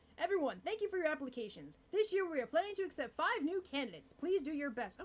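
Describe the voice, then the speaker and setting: In a put-on character voice, a woman talks very fast and high, with very wide pitch swings. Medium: read story. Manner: formal, brisk.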